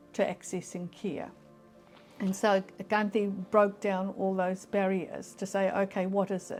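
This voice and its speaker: A woman at a medium pitch, speaking at a very slow pace over music in the background. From New Zealand, Auckland. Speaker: health services leader. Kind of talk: interview answer.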